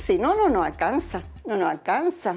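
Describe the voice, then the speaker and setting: Her pitch swings across a very wide range. The woman keeps to a moderate pace. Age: 70s. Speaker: retiree. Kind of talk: interview.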